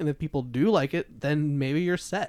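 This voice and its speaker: An ordinary speaking voice from a man, fairly high in pitch, at a fairly quick pace with ordinary pitch variation. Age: 20s. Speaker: podcast host and newspaper writer. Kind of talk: casual chat.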